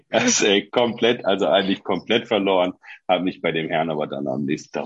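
A man is speaking. His pace is moderate. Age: 40s. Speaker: former teacher. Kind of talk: casual chat.

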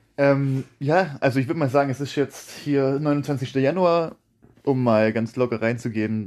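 A man speaks in a plain, everyday voice at a medium pitch and a fairly slow pace. His pitch varies in an ordinary way, and the background is quiet. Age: 20s. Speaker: podcast host. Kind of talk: casual chat.

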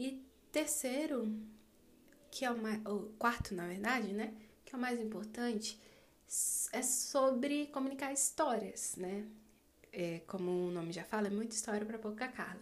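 A woman speaks with ordinary pitch variation and long, frequent pauses. Audible room echo surrounds her voice. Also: fairly high pitch for a woman, fairly slow pace. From Brazil, Distrito Federal. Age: 20s. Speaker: podcaster, literature student. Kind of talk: casual monologue. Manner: halting.

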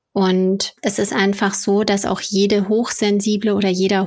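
A woman of medium pitch, fairly slow and monotone with flat intonation, on a very clean recording with a silent background. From Ruhr area, Germany. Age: 30s. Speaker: magazine founder and editor. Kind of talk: casual interview.

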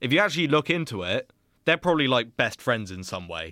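The speaker is a man. He talks with a British accent. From Britain. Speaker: podcast co-host. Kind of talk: casual chat.

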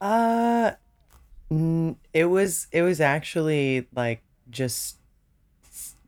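The recording of this woman's voice is very clean, with a silent background. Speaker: singer-songwriter guest. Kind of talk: casual interview chat.

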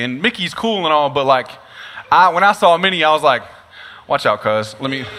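An animated, bright, sharp voice with an American accent, very fast in pace, with very wide pitch swings. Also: man. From East Texas. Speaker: pastor. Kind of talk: sermon. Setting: venue with live audience.

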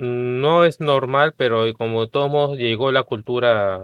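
The speech unfolds at a fairly slow pace in a Peruvian accent. Pitch varies in an ordinary way. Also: man. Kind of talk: casual chat.

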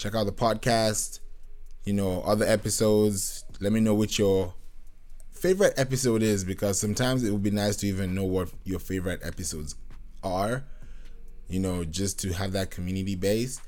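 A man with a fairly low pitch talks at a moderate pace. His intonation is fairly even, and audible room echo can be heard. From Nigerian, raised in Kenya and Britain. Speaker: podcast host and music producer. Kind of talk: casual solo monologue. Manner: relaxed, rambling with fillers.

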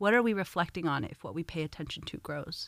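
A woman with an American accent speaks at a fairly low pitch and a moderate pace. The recording is very clean, with a silent background. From Los Angeles, California. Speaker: community organizer. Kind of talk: conversation.

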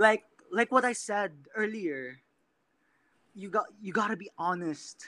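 A man's raised, projected voice, high-pitched with a bright, sharp tone, fairly slow with long, frequent pauses and big swings in loudness. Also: ordinary pitch variation. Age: 20s. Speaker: guest on casual chat show. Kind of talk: playful casual video chat. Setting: video call.

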